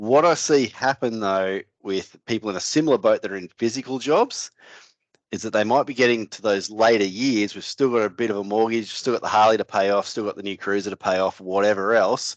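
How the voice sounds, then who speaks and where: Speaking with an Australian accent, a man talks at a fairly low pitch and a fairly quick pace, with ordinary pitch variation. The sound is dry and close with no echo, over a quiet background. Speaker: financial adviser, podcast co-host. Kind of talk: casual podcast chat.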